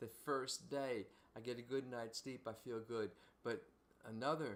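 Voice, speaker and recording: Here a man talks with a Philadelphia accent. His pitch variation is ordinary. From Philadelphia, US. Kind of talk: casual chat. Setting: livestream. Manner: halting.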